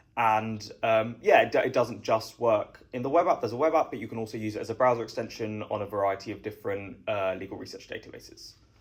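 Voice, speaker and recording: With a British accent, a man talks very fast at a medium pitch, hardly pausing at all. His loudness swings widely while his pitch varies in an ordinary way. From southeast England. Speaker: startup founder. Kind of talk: interview.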